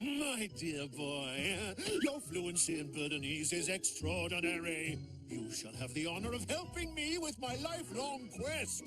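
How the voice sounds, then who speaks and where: A man performs a cartoonish character voice at a moderate pace. Loud music plays in the background. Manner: grandiose, theatrical.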